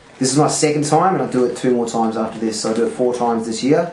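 A man talks at a very fast pace with ordinary pitch variation, amid audible room echo and light background noise. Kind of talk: casual explanation to a friend. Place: kitchen. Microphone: camera far.

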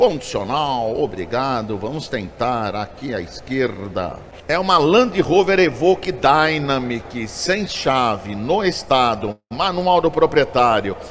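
A man in an upbeat tone speaks at a very slow pace with hardly any pauses, his medium pitch making very wide swings. Light background noise sits behind him. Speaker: auctioneer. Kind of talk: casual vlog commentary. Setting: auction hall with live and online bidders. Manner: upbeat salesman patter, hyping lots. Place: garage. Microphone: phone near.

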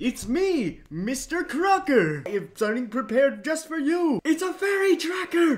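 A high, put-on character voice runs on with hardly any pauses. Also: moderate pace. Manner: manic, excitable.

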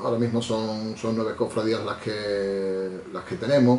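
A fairly low-pitched man with an Andalusian accent speaks in a room with audible echo and light background noise. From Andalusia, Spain. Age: 40s. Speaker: lawyer and Holy Week herald. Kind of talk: interview answer. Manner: hesitant, conversational. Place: office.

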